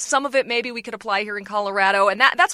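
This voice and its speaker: A woman talks in a fairly high, bright, sharp tone with ordinary pitch variation. The sound is dry and close, with no echo. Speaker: TV reporter. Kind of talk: casual chat.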